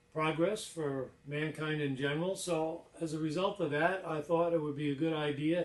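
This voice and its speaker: Noticeable background noise sits behind a man's fairly high pitch. He talks at a moderate pace with fairly even intonation. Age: 60s. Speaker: inventor. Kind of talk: presentation. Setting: lab.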